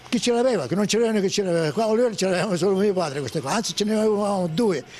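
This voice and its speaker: A man's high-pitched voice at a very fast pace, very even in loudness, over noticeable background noise. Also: ordinary pitch variation. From Sicily, Oliveri (Messina). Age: 80s+. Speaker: retired fisherman. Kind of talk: interview storytelling. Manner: halting, repetitive.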